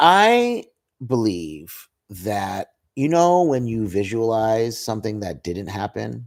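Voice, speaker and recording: A man with an American accent speaks at a very slow pace with lively intonation. The recording is very clean, with a silent background. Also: medium pitch for a man. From upstate New York (Albany). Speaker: podcast host, comedian. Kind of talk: casual chat.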